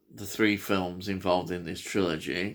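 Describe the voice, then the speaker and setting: A bright, sharp voice with a Yorkshire accent, captured in a very clean recording with a silent background. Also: man. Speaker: film presenter discussing a horror trilogy. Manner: casual, many filler hesitations.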